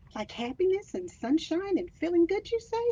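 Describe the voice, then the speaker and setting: A woman puts on a squeaky character voice, extremely high in pitch with a warm, gentle tone, very wide pitch swings and a moderate pace. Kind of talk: picture-book read-aloud. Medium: read story.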